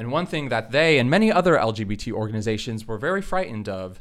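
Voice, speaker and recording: On a very clean recording with a silent background, a man with an American accent and an unremarkable speaking voice speaks at a fairly quick pace with lively intonation. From Florida, US. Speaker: panelist, LGBT activist. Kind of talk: panel discussion.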